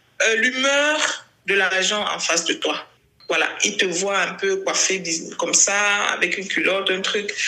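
Amid noticeable background noise and audible room echo, a woman speaks at medium pitch and a fairly slow pace with ordinary pitch variation. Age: 30s. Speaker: LGBT rights activist. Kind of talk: interview.

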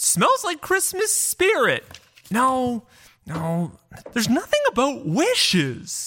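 The speaker uses a put-on character voice with a high pitch. The delivery is very slow. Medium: audio drama. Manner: eager, flustered.

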